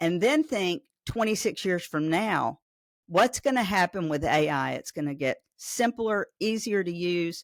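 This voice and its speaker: A woman's medium-pitched voice in a Southern US accent, fairly slow and with lively intonation, on a very clean recording with a silent background and a dry, close sound with no echo. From Arkansas, Pine Bluff. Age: 60s. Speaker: AI business owner, state task force member. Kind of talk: podcast interview. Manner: animated.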